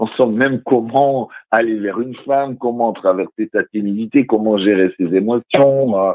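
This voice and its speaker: A man's unremarkable speaking voice at a medium pitch, fairly slow and fairly even in intonation, with hardly any pauses. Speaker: radio guest. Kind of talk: casual chat. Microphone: phone line changes his voice.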